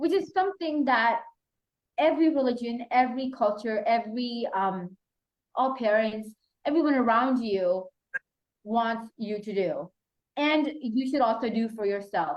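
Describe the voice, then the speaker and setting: The speech moves at a fairly slow pace with lively intonation and long, frequent pauses. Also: woman, high pitch for a woman. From Pakistan. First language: Urdu. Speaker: youth mentor and activist. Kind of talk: panel discussion.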